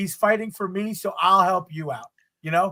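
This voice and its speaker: A man speaks in a raised, projected voice at a very fast pace, his pitch high. His tone is animated, bright and sharp. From Long Island, New York. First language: Spanish. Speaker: podcast host. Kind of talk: casual chat.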